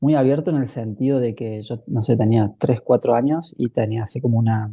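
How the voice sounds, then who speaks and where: A somewhat breathy man's voice, medium in pitch, fairly quick and fairly even in intonation. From Argentina, Córdoba. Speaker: spiritual teacher. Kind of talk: casual chat.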